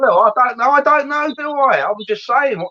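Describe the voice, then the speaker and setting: Raising and projecting his voice, a man speaks at a fairly quick pace in a bright, sharp tone, with a dry, close sound and no echo. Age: 60s. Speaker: live stream host. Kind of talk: casual chat. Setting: live stream. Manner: animated.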